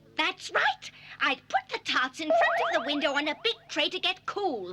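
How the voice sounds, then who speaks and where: A cartoonish character voice pitched high. Sound effects play in the background. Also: moderate pace. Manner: indignant.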